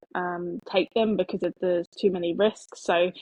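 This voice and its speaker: With an English accent, a woman speaks in a fairly even intonation. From England, Devon. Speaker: pet travel business founder. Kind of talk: podcast interview. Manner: hesitant, many fillers.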